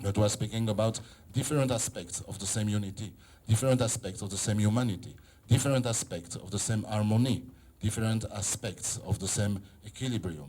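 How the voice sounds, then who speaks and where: In a non-native accent, a man speaks fairly quickly with a fairly low pitch, a dark, mellow tone, ordinary pitch variation and a somewhat breathy quality. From Israel. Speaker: photographer and philosopher. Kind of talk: exhibition opening speech. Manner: halting.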